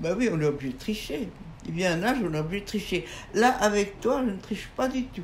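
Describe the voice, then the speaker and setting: A woman at a medium pitch with lively intonation and a fairly quick pace, over noticeable background noise and audible room echo. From France. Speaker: writer and painter. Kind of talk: interview conversation. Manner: halting.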